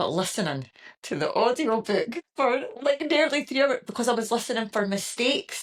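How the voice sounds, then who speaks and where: A high-pitched woman in a Scottish accent, lively in intonation, at a moderate pace. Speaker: podcast host. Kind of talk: casual chat.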